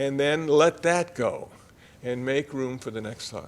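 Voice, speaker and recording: Here a man with fairly high pitch talks with ordinary pitch variation. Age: 70s. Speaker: Buddhist monk, guest speaker. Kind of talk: dharma talk. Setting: congregation sanctuary, also streamed on video call. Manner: conversational.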